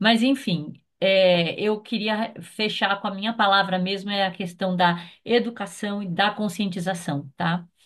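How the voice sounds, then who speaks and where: A woman with a normal speaking voice talks at a fairly slow pace, her pitch medium and her intonation fairly even. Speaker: consultant. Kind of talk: meeting discussion.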